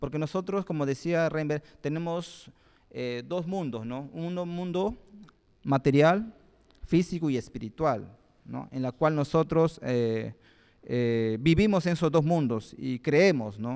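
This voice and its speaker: Over a quiet background, a man speaks very slowly at a fairly high pitch. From Peru, Lima (born in Pucallpa, Ucayali); Lima. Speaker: guest. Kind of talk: public talk. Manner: halting, with frequent fillers. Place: hall. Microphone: handheld.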